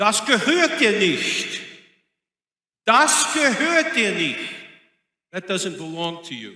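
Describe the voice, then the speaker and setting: A man's shrill, high-pitched put-on character voice, fairly slow with long, frequent pauses, very wide pitch swings and big swings in loudness, with clear echo. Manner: demanding, forceful.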